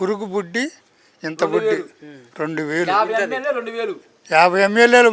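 Lively intonation marks this man's high-pitched voice. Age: 60s. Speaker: farmer. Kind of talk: street interview answer. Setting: outdoors.

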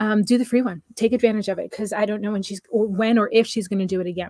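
Over music in the background, a woman talks at a very fast pace in a monotone, flat intonation, with a dry sound and no echo. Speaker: health coach hosting a webinar. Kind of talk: live webinar talk. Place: home room. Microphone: webcam.

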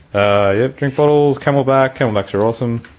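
A man talks at a moderate pace, his pitch varying in an ordinary way, with light noise in the background. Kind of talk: casual walkthrough commentary. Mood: relaxed, informal. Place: garage. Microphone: phone near.

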